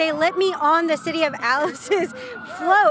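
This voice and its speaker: A woman sounds upbeat and energetic, with music in the background. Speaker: TV news reporter and anchor. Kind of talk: TV news reporter delivery. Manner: upbeat, energetic live stand-up reporting.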